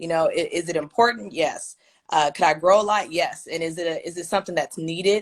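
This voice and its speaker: In an American accent, the speaker has a plain, everyday voice, talking at a fairly quick pace with ordinary pitch variation. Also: woman. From Kansas City, Kansas. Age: 20s. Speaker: former student leader, alumna. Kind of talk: interview.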